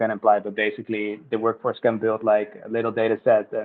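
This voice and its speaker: A man with a Dutch accent talks at a fairly quick pace and a medium pitch. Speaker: project team member. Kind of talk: community video call discussion.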